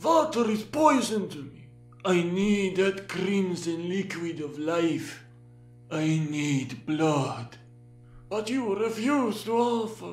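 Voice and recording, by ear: A man uses a put-on character voice with a high pitch. He talks at a very slow pace with music in the background.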